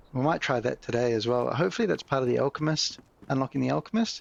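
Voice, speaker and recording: A man speaks with a New Zealand accent. The sound is dry and close with no echo. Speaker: gaming YouTuber. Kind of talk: gameplay commentary. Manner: casual, relaxed.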